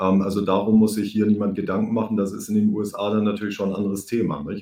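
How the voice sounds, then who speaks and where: A man talks at a fairly quick pace. His fairly low voice has a dark, mellow tone. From Germany. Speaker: podcast host, economist. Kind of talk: interview.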